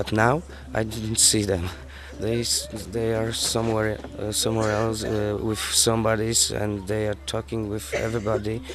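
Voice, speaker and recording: Moderate pace and ordinary pitch variation, with audible room echo and music in the background. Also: man, fairly low pitch for a man. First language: not English. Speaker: youth group leader. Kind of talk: interview. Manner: halting.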